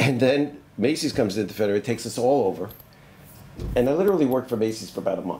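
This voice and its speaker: A man talking at a very fast pace with lively intonation, over light background noise. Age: 70s. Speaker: retired retail merchant and professor; professor. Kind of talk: oral history interview. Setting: on campus.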